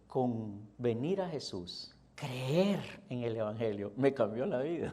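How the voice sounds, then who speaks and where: Audible room echo surrounds a man speaking at a very slow pace. His tone is dark and mellow, with lively intonation. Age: 60s. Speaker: pastor. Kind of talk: sermon.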